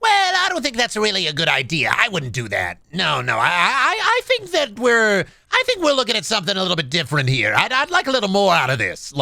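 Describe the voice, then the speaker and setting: A put-on character voice, fairly high in pitch, fairly quick and with hardly any pauses. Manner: cautious, measured, dismissive.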